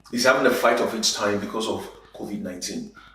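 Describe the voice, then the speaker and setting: Very wide pitch swings from a man, with noticeable background noise behind him. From Nigeria, Igbo. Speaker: spoken word poet, advertising creative director, conference speaker. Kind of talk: conference talk, conversational speech. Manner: conversational, punchy.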